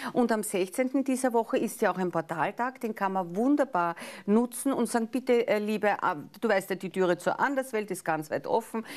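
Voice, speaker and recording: With a Viennese accent, a woman speaks at a moderate pace using lively intonation. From Austria, Vienna. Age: middle-aged. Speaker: astrologer; life coach guest on TV show. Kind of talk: casual chat; daily forecast. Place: studio.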